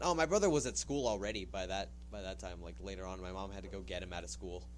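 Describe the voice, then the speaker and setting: A man with a Californian accent talks very fast in a very deep, low pitch with vocal fry and an animated tone. His pitch swings very widely, his loudness shifts a lot, and there is audible room echo. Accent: Californian American. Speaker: podcast co-host. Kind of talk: casual chat.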